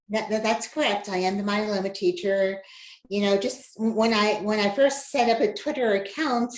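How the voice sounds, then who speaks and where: A woman's medium-pitched voice at a moderate pace with ordinary pitch variation, an ordinary speaking voice. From New Jersey. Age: 60s. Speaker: patient advocate and educator. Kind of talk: podcast interview.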